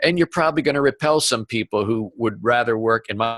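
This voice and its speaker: This man's voice sits at a medium pitch with ordinary pitch variation. The sound is dry and close with no echo, and his pace is moderate. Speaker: business coach and author. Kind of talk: interview. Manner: stumbles over words.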